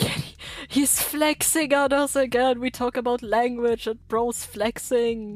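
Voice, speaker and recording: Speaking with a non-native accent, a woman uses a high pitch, fairly even intonation and a fairly slow pace. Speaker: streamer. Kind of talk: gaming livestream chat. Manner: casual, halting with fillers.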